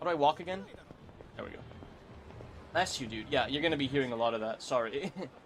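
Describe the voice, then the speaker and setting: Speaking at a very fast pace, a man with a fairly high pitch leaves long, frequent pauses. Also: ordinary pitch variation. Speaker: video game streamer. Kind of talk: live gaming stream chat. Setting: live stream, playing with controller.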